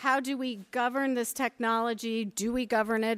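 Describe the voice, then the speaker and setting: With an ordinary speaking voice, a woman talks at a fairly slow pace with fairly even intonation. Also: very clean recording, silent background. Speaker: panel moderator. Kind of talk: panel moderation. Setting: panel with live audience.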